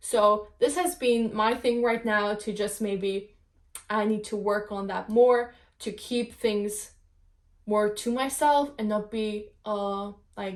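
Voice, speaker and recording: A woman's fairly high voice with a non-native accent, fairly even intonation, and a very slow pace, in a very clean recording with a silent background. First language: not English. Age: 20s. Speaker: podcast host. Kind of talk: casual monologue podcast. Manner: halting, many fillers.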